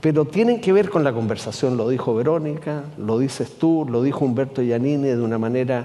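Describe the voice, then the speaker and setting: In a room with audible echo and noticeable background noise, a man talks at a moderate pace and medium pitch with ordinary pitch variation. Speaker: columnist and writer. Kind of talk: public conversation. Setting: stage with audience.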